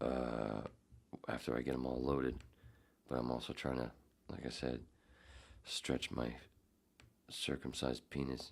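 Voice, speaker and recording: Vocal fry runs through a flat, monotone delivery at a moderate pace. Loudness stays very even, and long pauses come often. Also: man, very deep, low pitch for a man. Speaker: podcast host. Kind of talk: casual chat. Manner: rambling, babbling.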